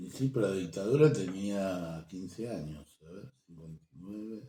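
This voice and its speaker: Very deep and low in pitch, a man speaks in an Argentine accent with a dark, mellow tone. He moves at a fairly slow pace with lively intonation. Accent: Rioplatense Argentine Spanish. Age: 60s. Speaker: programmer and social activist. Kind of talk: interview. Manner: halting.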